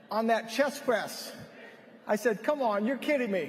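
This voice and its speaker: In an animated tone and an extremely high pitch, a man speaks against noticeable background noise. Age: 60s. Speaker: health product speaker at a conference. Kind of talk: stage speech. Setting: stage with audience.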